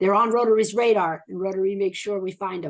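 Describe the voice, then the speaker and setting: With an American accent and an ordinary speaking voice, a woman of medium pitch talks at a fairly quick pace. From Florida. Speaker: hospital charity worker. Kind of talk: Q&A answer.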